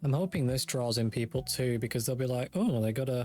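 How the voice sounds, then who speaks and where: A man speaks very fast in a British accent, at a medium pitch with ordinary pitch variation. Music plays in the background. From Britain. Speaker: gaming YouTuber. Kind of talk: let's play gameplay commentary. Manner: casual, thinking aloud.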